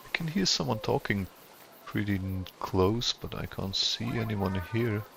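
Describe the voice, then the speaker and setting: Over noticeable background noise, a man with a non-native accent talks at a fairly slow pace, using a fairly low pitch with ordinary pitch variation. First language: not English. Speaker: gaming streamer. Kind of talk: gameplay commentary. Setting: live stream. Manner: casual, halting with self-corrections.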